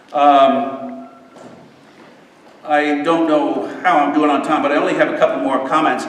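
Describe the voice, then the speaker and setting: Room echo is audible as a man speaks at a moderate pace. Background noise is noticeable too. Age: 60s. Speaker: political candidate. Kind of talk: campaign speech. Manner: halting.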